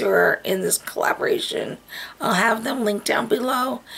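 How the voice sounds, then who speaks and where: A woman keeps a moderate pace as noticeable noise carries on behind her. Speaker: beauty vlogger. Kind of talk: casual vlog talk. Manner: halting, many fillers.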